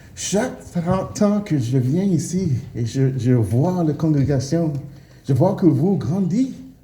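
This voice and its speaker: At a very slow pace, a man talks with lively intonation and a fairly high pitch. Noticeable background noise and audible room echo fill the recording. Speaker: preacher. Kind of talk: sermon. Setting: church. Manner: halting, many hesitations.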